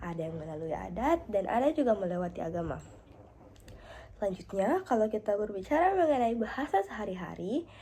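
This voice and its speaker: A woman speaks fairly quickly in a dark, mellow, somewhat breathy tone with very wide pitch swings. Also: medium pitch for a woman. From South Sulawesi, Indonesia (Pangkep). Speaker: university student. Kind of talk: class assignment presentation. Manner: halting with fillers.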